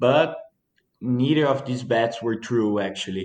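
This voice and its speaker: A man's medium-pitched voice in a Portuguese accent, at a fairly slow pace. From Brazil, Minas Gerais. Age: 20s. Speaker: coffee farmer. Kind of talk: interview.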